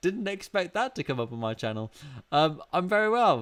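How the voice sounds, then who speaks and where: Recorded very cleanly against a silent background, a man with a British accent speaks at a moderate pace with very wide pitch swings. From UK. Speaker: YouTuber. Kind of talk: casual chat. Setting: livestream from home studio. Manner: halting. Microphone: new mic.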